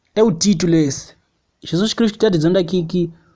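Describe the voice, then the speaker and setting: This man has a high pitch and speaks at a moderate pace. His pitch varies in an ordinary way against a quiet background. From Mozambique. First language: Xangana (Tsonga) (speaking Portuguese). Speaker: preacher. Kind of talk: sermon.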